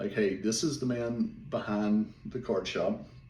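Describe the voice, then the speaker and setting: A man with a Southern US accent speaks at a medium pitch in a dark, mellow tone, with audible room echo. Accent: Southern drawl. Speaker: small business owner, card seller. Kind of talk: casual vlog monologue. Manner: more energetic, not talking as slow.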